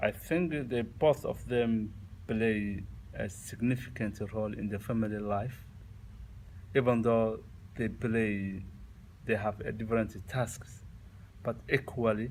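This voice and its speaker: With a Somali accent, a man speaks fairly slowly at a medium pitch with fairly even intonation and long, frequent pauses. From Somalia. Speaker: immigrant interviewee. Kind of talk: interview. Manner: halting.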